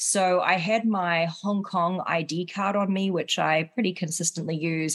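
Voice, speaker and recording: Speaking at a moderate pace with a New Zealand accent, a woman uses a fairly low pitch and ordinary pitch variation against a quiet background. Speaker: podcast co-host, compliance professional. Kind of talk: casual chat.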